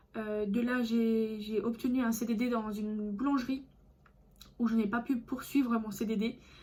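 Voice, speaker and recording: Somewhat breathy, a woman talks at a moderate pace in a fairly high pitch. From France, Alsace. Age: 20s. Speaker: vlogger. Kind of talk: casual vlog monologue. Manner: hesitant, many fillers.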